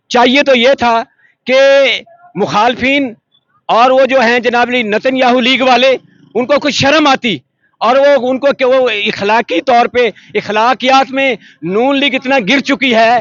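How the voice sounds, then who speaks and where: A man speaks in a passionate tone at an extremely high pitch. His intonation stays fairly even. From Pakistan. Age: old. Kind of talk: street interview answer. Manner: passionate, emotional.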